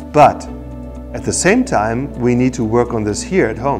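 Clear background music, a man, a moderate pace. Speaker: university professor. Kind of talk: explainer to camera. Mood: earnest, concerned. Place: meeting room. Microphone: lapel.

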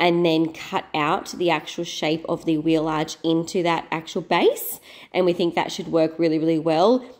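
A woman has an unremarkable speaking voice with a fairly low pitch. She keeps a moderate pace and fairly even intonation. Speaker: renovation vlogger. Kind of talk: casual vlog chat.

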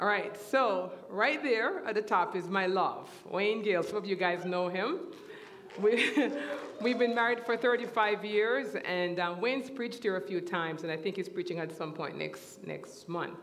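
The woman talks at a fairly slow pace with ordinary pitch variation. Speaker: church teacher. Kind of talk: sermon. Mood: warm and smiling. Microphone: headset.

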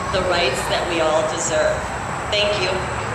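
The woman's voice comes through loud background noise and audible room echo. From US Midwest. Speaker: rally speaker, straight ally. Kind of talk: rally speech. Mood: earnest, warm. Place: street. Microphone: pa.

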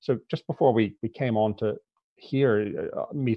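With an American accent, a man talks at a moderate pace with ordinary pitch variation against a quiet background. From US South, Louisiana. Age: 50s. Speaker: author and journalist; guest. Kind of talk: interview. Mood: earnest, serious. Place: home room. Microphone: earbuds.

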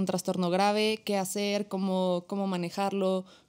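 Against a quiet background, a woman is speaking. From Mexico. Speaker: psychologist, suicide prevention foundation founder; podcast guest. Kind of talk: podcast interview. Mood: earnest, reflective. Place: studio. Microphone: studio mic.

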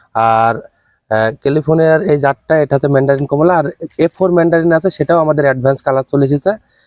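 A man with a fairly high voice and a dark, mellow tone is recorded with a dry, close sound that has no echo. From Bangladesh, Chuadanga district. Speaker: agricultural entrepreneur, orange grower. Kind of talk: on-site interview.

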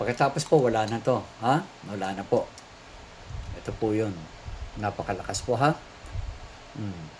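Somewhat breathy speech at a moderate pace, with ordinary pitch variation and long, frequent pauses. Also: man, medium pitch for a man. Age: 60s. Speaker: priest and exorcist. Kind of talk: religious teaching and product pitch.

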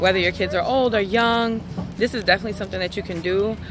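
A woman's fairly even intonation, dry sound with no echo, and noticeable background noise. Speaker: vlogger. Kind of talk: casual vlog chat. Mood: earnest, encouraging. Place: street. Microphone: phone near.

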